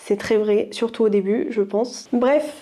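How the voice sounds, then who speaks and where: The tone is dark and mellow. Delivery comes at a fairly slow pace. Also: woman. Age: 20s. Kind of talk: casual vlog talk to camera.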